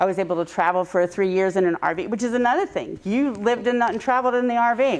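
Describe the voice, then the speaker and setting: Speaking at a very fast pace with hardly any pauses, a woman uses a fairly high pitch, ordinary pitch variation and very even loudness. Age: 60s. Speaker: long-lost sister reunited via DNA test. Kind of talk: casual chat. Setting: studio. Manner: halting.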